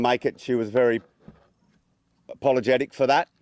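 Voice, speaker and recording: Dry, close sound with no echo, a man with an Australian accent, medium pitch and fairly even intonation. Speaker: son giving funeral welcome. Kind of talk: funeral speech. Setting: funeral with audience. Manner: halting.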